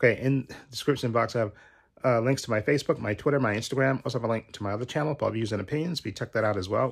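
His speech rushes by at a very fast pace, and his pitch moves in an ordinary way. Nothing stirs in the quiet background. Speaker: channel host. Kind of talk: casual vlog chat. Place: home room. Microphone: phone near.

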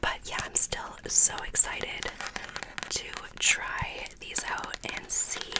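Whispering softly at a very slow pace, the speaker is heard over loud background noise. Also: woman. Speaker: ASMR creator. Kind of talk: soft-spoken ASMR chat. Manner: soft close-mic ASMR whisper. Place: home room. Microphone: studio mic.

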